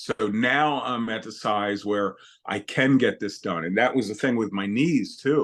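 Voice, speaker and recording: A man has a plain, everyday voice at medium pitch with ordinary pitch variation. He speaks at a fairly slow pace against a quiet background. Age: 60s. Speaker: retired chef and weight loss client. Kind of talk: interview conversation. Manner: casual, conversational.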